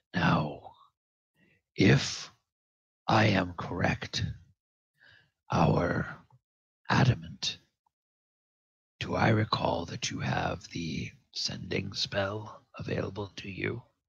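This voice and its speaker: Using a put-on character voice, a man speaks very slowly in a very deep, low pitch, with long, frequent pauses. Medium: actual play. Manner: formal, courteous.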